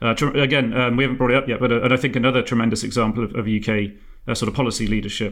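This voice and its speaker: A man with an English accent talks very fast at medium pitch in a monotone, flat intonation. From England. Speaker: podcast host. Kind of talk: casual discussion.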